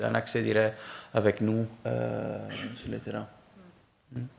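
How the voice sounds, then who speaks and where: Speaking at a fairly slow pace, a man with a non-native accent talks at a medium pitch. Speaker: professor, program director. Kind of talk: presentation to prospective students. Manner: halting, many fillers.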